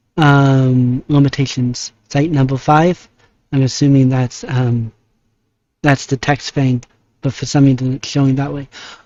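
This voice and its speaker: Soft-spoken and monotone, a man with a medium pitch talks at a fairly slow pace with flat intonation. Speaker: vtuber. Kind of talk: casual monologue. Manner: halting. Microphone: lavalier mic clipped on beanie, phone backup.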